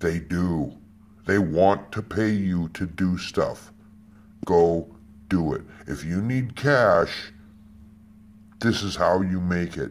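The speech moves at a very slow pace with ordinary pitch variation and long, frequent pauses. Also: man, very deep, low pitch for a man. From United States. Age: 50s. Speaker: security guard and odd-job worker. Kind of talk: personal testimony monologue. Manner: emphatic, repetitive. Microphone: phone near.

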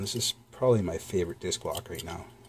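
The voice runs at a very fast pace and sounds somewhat breathy. Pitch varies in an ordinary way over light background noise. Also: man. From Canada. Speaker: lock-picking YouTuber; lock reviewer. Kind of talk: product review. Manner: casual, hesitant with fillers.

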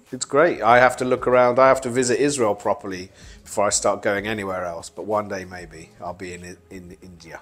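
Faint music plays behind a man whose fairly low voice moves at a fairly quick pace, with ordinary pitch variation and big swings in loudness. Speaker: interviewee. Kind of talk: interview answer. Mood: joking, wry. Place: home room. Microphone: lapel.

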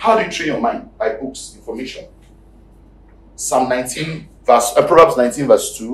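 A man talks at a fairly slow pace with audible room echo. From Nigeria. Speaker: pastor. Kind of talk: sermon. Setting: church. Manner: animated. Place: church.

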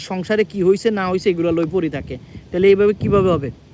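A man's pitch varies in an ordinary way while noticeable background noise sits behind him. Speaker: political commentator vlogger. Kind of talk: casual political commentary live stream. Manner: halting.

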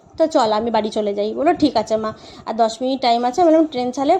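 The pitch moves in an ordinary way. The speaker is a woman. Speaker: vlogger and mother. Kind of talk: vlog narration. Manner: voice-over recorded afterwards.

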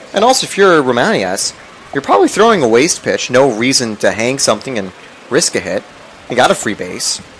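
A man's medium-pitched voice with very wide pitch swings at a fairly quick pace, over noticeable background noise. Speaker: color commentator. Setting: broadcast booth at a college baseball game. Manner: casual, laid-back, chuckling, hesitant.

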